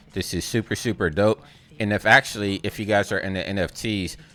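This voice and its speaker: Noticeable background noise sits behind a man speaking at a fairly quick pace and a fairly low pitch. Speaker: YouTuber, motion graphics artist. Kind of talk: gameplay commentary. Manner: animated.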